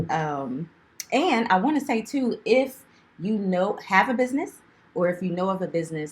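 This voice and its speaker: Somewhat breathy woman's voice at medium pitch, very wide pitch swings, moderate pace. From US Northeast, Philadelphia. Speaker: podcast co-host. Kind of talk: casual chat.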